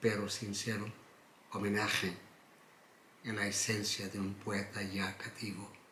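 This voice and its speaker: With a Portuguese accent, a man speaks in a fairly low voice, and audible room echo surrounds him. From Portugal, Algarve. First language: Portuguese (speaking Spanish). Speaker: poet. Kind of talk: reading aloud own poem; interview. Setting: at his home.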